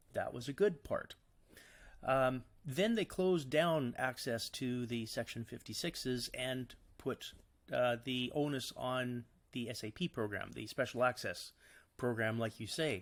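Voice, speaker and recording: A plain, everyday voice with a Canadian accent speaks at a fairly slow pace with ordinary pitch variation. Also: man, medium pitch for a man. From Canada. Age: 50s. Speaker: cancer patient and psilocybin therapy advocate. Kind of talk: podcast interview answer.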